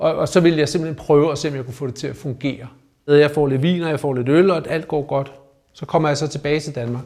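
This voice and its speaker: Very fast speech from a man, fairly high in pitch, with fairly even intonation. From Denmark, North Zealand (Rungsted). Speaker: recovering alcoholic, investor. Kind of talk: personal testimony in interview. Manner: halting, many repeated words.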